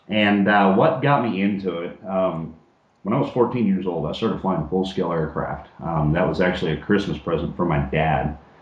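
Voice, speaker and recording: With an American accent, a man talks at a moderate pace in a very deep, low voice, and the room echo is audible. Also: ordinary pitch variation. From Oklahoma. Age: 30s. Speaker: guest, RC model pilot and private pilot. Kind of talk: interview. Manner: halting with many fillers.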